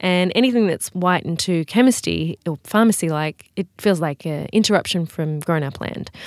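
A woman's fairly low voice in an Australian accent, moderate in pace with ordinary pitch variation and hardly any pauses, dry and close with no echo in a very clean recording with a silent background. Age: 30s. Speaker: beauty brand founder. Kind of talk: interview.

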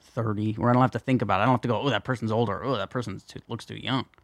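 The background stays quiet while a man speaks. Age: 30s. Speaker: podcast host. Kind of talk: casual chat.

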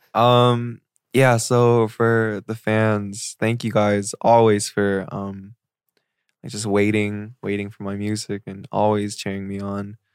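In a West Coast accent, the speaker talks at a very slow pace with monotone, flat intonation. The recording is very clean, with a silent background and a dry, close sound with no echo. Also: man, fairly low pitch for a man. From Seattle, Washington. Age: 20s. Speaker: singer. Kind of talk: casual chat.

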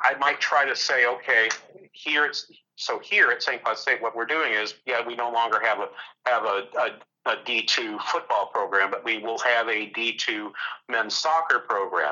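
The speaker uses a plain, everyday voice with an American accent, at a fairly slow pace with ordinary pitch variation. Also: man. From New Hampshire, US. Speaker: economics professor. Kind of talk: interview.

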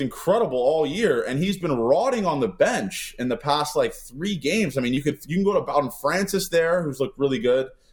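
This man speaks with a high pitch. His voice moves in very wide pitch swings. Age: 20s. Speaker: sports podcast host. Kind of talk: casual chat.

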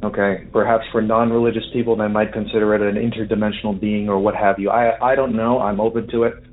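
At a very fast pace with hardly any pauses, a man speaks in a monotone, flat voice at very even loudness. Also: medium pitch for a man. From New York, Long Island. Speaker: listener submitting a story. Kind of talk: testimony. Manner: halting.

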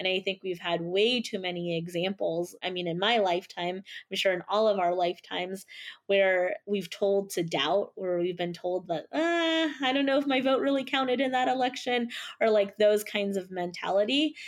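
A woman with a normal speaking voice talks at a moderate pace and medium pitch, her intonation lively, against a quiet background. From Philippines, raised in California. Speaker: nonprofit CEO. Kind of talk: interview.

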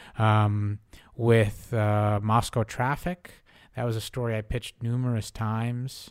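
An American-accented man with a plain, everyday voice talks at a fairly slow pace, medium pitch and fairly even intonation, on a very clean recording with a silent background. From US Northeast, Newton near Boston, Russian family. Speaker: magazine editor and writer. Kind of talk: interview. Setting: studio.

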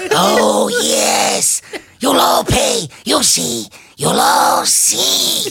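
Very slowly, someone talks in a put-on character voice. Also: man. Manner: frantic, threatening.

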